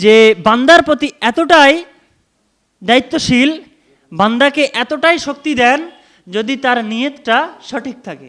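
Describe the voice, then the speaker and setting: This man's voice is extremely high in pitch, with ordinary pitch variation and big swings in loudness. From India. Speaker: Islamic preacher. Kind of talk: sermon.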